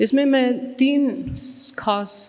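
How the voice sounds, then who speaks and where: A woman's voice in a room with audible echo and noticeable background noise. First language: Tamil (speaking Hindi). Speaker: trust founder, mental health activist. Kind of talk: keynote address. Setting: stage with audience. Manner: halting, many fillers.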